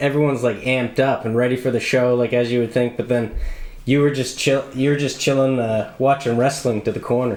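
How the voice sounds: With a slightly mellow tone and medium pitch, a man speaks at a fairly quick pace with fairly even intonation.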